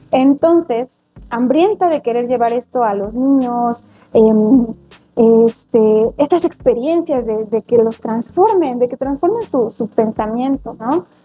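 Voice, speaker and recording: A woman talks at a very slow pace. Her pitch is high, with ordinary variation. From Mexico, Atlixco, Puebla. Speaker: primary school teacher. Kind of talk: interview conversation.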